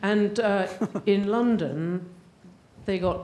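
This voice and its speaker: The voice has a dark, mellow tone and speaks with an English accent. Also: woman. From England. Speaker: audience member asking a question. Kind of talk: audience question at a panel.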